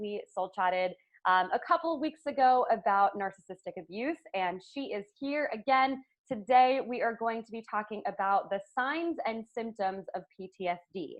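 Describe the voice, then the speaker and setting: A woman's plain, everyday voice, fairly high in pitch, with lively intonation at a moderate pace. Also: big swings in loudness. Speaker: podcast host. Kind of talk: podcast interview, casual conversation.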